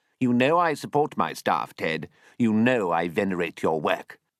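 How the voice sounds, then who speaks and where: A man's put-on character voice, shaky and whiny, medium in pitch with very wide pitch swings, at a moderate pace and very even loudness, in a very clean recording with a silent background and a dry, close sound with no echo. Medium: read story. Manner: whining, trembling.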